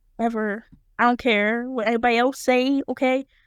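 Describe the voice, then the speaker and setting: The delivery has monotone, flat intonation. It is a very clean recording with a silent background. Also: woman. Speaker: podcast host. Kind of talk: casual chat.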